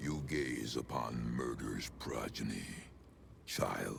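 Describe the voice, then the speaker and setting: Whispering in a put-on character voice, a man speaks at a very slow pace with clear background noise behind him. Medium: video game. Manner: slow, solemn, measured.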